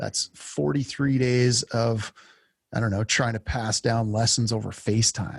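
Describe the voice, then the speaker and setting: Somewhat breathy and fairly slow, a man speaks at a medium pitch with ordinary pitch variation, the sound dry and close with no echo. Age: 40s. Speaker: podcast host and lineman. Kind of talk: interview conversation. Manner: halting.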